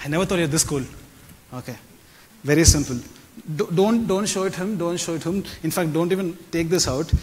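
His voice sits high for a man, and its pitch moves in an ordinary way. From South India, Chennai. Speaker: stage magician / mentalist; event host. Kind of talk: stage magic performance. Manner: animated. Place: stage. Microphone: lapel.

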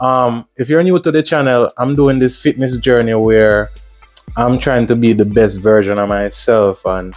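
A man's voice with ordinary pitch variation over faint music in the background. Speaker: fitness vlogger. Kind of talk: casual vlog chat. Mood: upbeat, relaxed. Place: gym. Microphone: lapel.

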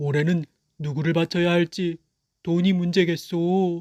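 A man puts on a character voice, pitched high and delivered in a flat monotone. He talks at a moderate pace in a very clean recording with a silent background. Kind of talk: children's folktale acting. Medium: read story. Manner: old-fashioned formal speech.

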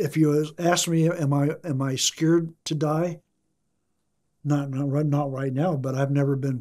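Fairly slow, monotone, flat speech from a man with a fairly high pitch, a dark, mellow tone, and an American accent, over a quiet background. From US Midwest (Ottumwa, Iowa); Iowa. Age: 70s. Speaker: retiree interviewed for life story; interviewee. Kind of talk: interview; interview answer. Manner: halting, with many repetitions. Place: studio.

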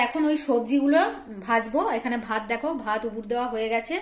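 A woman talks at a high pitch with ordinary pitch variation. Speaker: home cook vlogger. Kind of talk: casual vlog chat. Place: kitchen. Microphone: phone near.

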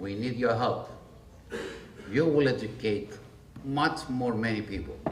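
A man with a Greek accent speaks with ordinary pitch variation over noticeable background noise. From Greece. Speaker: chef; panelist. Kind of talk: panel presentation. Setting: restaurant event with audience. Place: hall.

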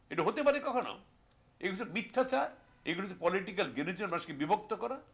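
Music runs in the background. A man with a high pitch speaks, his pitch swinging very widely. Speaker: war veteran. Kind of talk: news interview soundbite.

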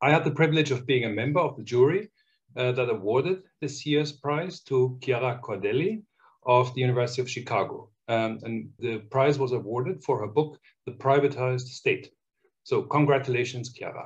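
This voice is somewhat breathy and keeps a moderate pace. Its pitch varies in an ordinary way. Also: man. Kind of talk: formal announcement speech. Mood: warm, congratulatory. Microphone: webcam.

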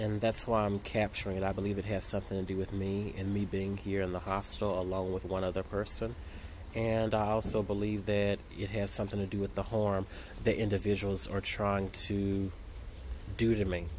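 Fairly quick, fairly low male voice with monotone, flat intonation and light background noise. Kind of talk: casual vlog chat. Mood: suspicious, worried. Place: street. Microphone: phone near.

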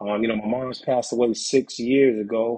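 In a New York accent, a man speaks with fairly even intonation. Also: quiet background. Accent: New York City. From New York City, the Bronx. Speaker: author and poet; poet. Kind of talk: interview. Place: home room. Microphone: video call.

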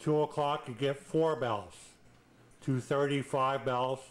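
The speaker is a man. He talks very slowly. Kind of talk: tutorial. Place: home room. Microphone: old recording.

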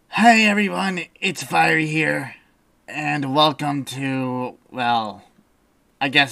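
The speaker uses a put-on character voice. The pitch sits low-to-middle. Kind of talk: let's play commentary. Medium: game stream. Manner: casual, wisecracking, easily startled.

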